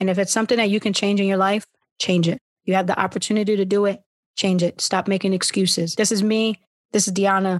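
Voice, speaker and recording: A woman talks very fast in an American accent with monotone, flat intonation and very even loudness, the sound dry and close with no echo over a quiet background. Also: medium pitch for a woman. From Philadelphia. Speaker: podcast host. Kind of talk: casual chat.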